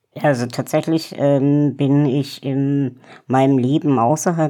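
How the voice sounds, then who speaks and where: The speech comes at a very slow pace over a quiet background. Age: 20s. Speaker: politician and activist. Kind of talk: interview. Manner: hesitant, many fillers.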